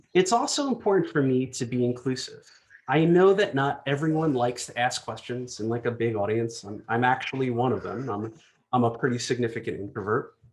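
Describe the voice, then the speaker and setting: Medium in pitch, a man talks with an American accent. He moves at a fairly quick pace. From New Jersey, US. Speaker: design executive. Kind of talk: conference talk. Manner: fast.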